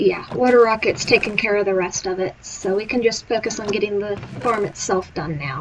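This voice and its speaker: Noticeable background noise sits behind a woman speaking at a medium pitch with ordinary pitch variation. She talks fairly quickly with hardly any pauses. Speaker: gaming streamer. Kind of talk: live gameplay commentary. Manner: casual counting aloud.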